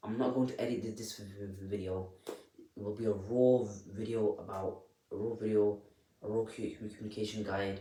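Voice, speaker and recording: Audible room echo surrounds a man with a fairly low pitch who talks at a moderate pace with fairly even intonation. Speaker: self-help vlogger. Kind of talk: unscripted tutorial. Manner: soft-spoken; halting, repetitive.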